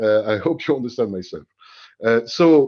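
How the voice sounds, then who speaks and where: With a French accent, a man talks at a moderate pace using lively intonation. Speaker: HR executive, webinar panelist. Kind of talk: panel discussion. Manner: halting, many fillers.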